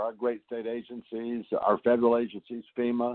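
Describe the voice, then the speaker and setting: Speaking with a Southeast Texas accent, a man keeps a moderate pace. His pitch is medium. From Texas Gulf Coast. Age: 60s. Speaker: congressman. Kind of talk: telephone town hall answers. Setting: phone call.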